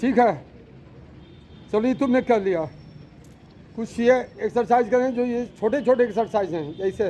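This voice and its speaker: Pitched extremely high, a man speaks with long, frequent pauses. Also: ordinary pitch variation, moderate pace. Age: 60s. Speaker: yoga instructor at a school. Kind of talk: live instruction to pupils.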